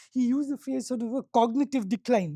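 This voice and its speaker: On a very clean recording with a silent background and a dry, close sound without echo, a woman with a Tamil accent speaks at a moderate pace, her fairly high pitch carrying a dark, mellow tone and ordinary pitch variation. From South India. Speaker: business school professor. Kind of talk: workshop panel talk.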